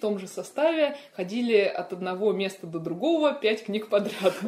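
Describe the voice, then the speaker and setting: This woman's voice has a dark, mellow tone at a fairly high pitch. Her intonation is lively. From Moscow, Russia. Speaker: children's fantasy author. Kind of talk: casual chat. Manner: animated.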